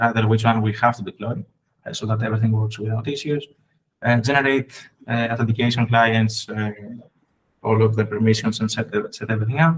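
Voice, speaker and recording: Somewhat breathy man at a fairly quick pace, flat and monotone. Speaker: software engineer presenting. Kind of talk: technical presentation. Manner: fast.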